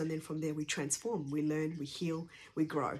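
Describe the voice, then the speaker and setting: Quiet and flat in intonation, a woman speaks with a very deep, low pitch. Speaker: energy healer and essential oils practitioner. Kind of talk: personal talk sharing her journey and work. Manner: speaking quietly; hesitant, many fillers.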